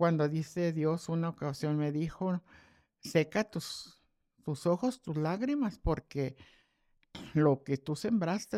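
Very slowly, a woman speaks in a dark, mellow tone with a fairly low pitch and ordinary pitch variation, in a very clean recording with a silent background. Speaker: retired pastor and grandmother. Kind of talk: testimony. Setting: at home over coffee.

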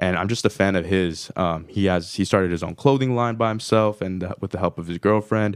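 A man with an unremarkable speaking voice talks at a fairly quick pace with hardly any pauses, at a fairly low pitch. His intonation is fairly even, and the recording is very clean with a silent background. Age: 20s. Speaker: podcast host and studio foundation member. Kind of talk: interview.

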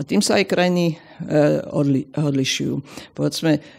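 A woman talks at a moderate pace. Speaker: sociologist. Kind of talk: interview.

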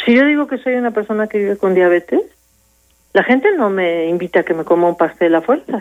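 She has a plain, everyday voice at a medium pitch for a woman. This woman talks at a fairly quick pace with lively intonation. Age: 50s. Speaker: addiction specialist. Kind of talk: radio interview.

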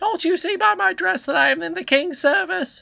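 Putting on a character voice, a man speaks at a moderate pace with an extremely high pitch, a bright, sharp tone, vocal fry and ordinary pitch variation.

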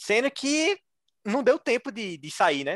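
A man in an animated tone with a Pernambuco accent and very wide pitch swings, in a very clean recording with a silent background and a dry, close sound with no echo. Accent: Pernambuco Brazilian Portuguese. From Brazil, Recife (Pernambuco). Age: 20s. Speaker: engineering graduate admitted to Harvard. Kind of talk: interview storytelling.

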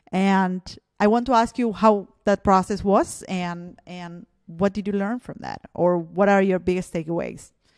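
A woman with a Spanish accent, medium in pitch, at a fairly slow pace with big swings in loudness, in a dry, close sound with no echo. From Argentina. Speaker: podcast host. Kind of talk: interview. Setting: video call.

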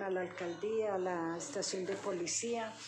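Audible room echo and noticeable background noise. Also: woman. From Colombia, Boyacá, later Bogotá. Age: 70s. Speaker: retired police worker, grandmother. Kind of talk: life-story interview.

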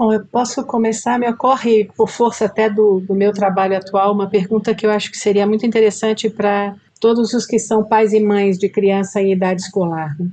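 A woman's plain, everyday voice, medium in pitch, at a moderate pace with fairly even intonation and hardly any pauses. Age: 60s. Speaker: school director and educator. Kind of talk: podcast interview.

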